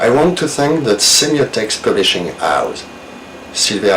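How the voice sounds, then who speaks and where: A man speaks fairly slowly in a French accent, his pitch swinging very widely, with audible room echo and noticeable background noise. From France. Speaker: novelist. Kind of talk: recorded video message; reading aloud. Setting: video recording.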